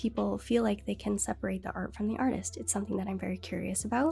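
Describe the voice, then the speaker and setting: A woman talks very fast while music plays in the background. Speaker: streamer. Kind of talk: casual livestream talk.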